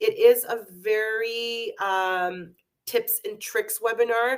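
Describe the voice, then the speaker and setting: A loud woman's voice. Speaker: beauty product educator. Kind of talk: live webinar. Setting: online webinar. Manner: halting, many fillers.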